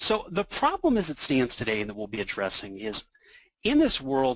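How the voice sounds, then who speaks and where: This man's voice sits at a medium pitch, recorded with a dry, close sound and no echo. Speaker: software product expert. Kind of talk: software demo presentation. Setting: online webinar. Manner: fast.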